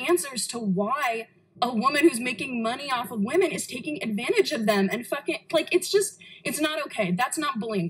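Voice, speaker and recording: A woman talks at a moderate pace while noticeable background noise is heard. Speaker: social media commentator. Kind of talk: casual vlog commentary. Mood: indignant, opinionated. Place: car. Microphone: phone near.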